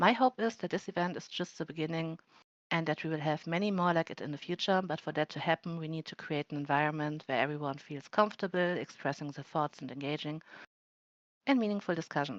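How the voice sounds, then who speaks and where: With a non-native accent, a woman speaks at a very fast pace in a very deep, low voice, showing big swings in loudness and ordinary pitch variation, recorded dry and close with no echo over a quiet background. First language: not English. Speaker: event moderator. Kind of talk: live event moderation, prepared opening remarks. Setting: virtual world event streamed live.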